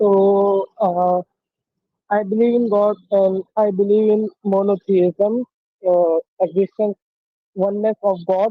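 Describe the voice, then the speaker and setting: The speaker talks at a very slow pace with an Indian accent. Long, frequent pauses break up the speech. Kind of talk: debate. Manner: halting. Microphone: poor audio quality.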